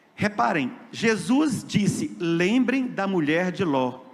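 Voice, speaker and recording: This man speaks at a very slow pace with very wide pitch swings. The room echo is audible. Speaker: lay preacher. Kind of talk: sermon.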